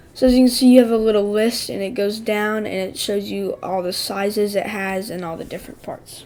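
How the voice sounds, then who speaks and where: There is noticeable background noise as a woman talks at a fairly quick pace with fairly even intonation. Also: medium pitch for a woman. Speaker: tech product reviewer. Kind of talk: product review tutorial. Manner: casual, hesitant fillers.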